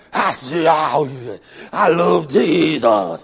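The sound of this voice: Growling put-on character voice from a man, fairly high in pitch, with lively intonation.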